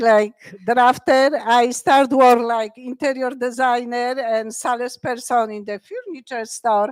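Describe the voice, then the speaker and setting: A woman's high voice with a Polish accent, at a fairly slow pace, dry and close with no echo. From Poland, Krakow. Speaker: wearable art designer. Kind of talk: interview at live talk event. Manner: chaotic.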